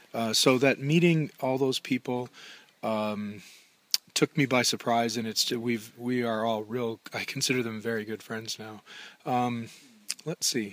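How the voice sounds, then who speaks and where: A man with an American accent speaks at a medium pitch and a fairly slow pace, his intonation fairly even, in an unremarkable speaking voice. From Minnesota. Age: 50s. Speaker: long-distance hiker. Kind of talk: interview.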